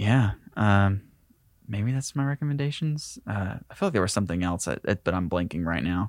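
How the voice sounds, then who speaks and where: Speaking at a moderate pace, a man with a fairly low pitch and lively intonation comes through in a very clean recording with a silent background and a dry, close sound with no echo. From US South, Tennessee/Georgia line near Chattanooga. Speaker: filmmaker. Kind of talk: casual interview.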